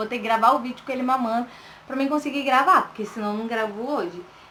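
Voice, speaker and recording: Soft-spoken, a woman talks with ordinary pitch variation. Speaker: vlogger. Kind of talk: casual personal story vlog. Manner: soft-spoken, talking quietly.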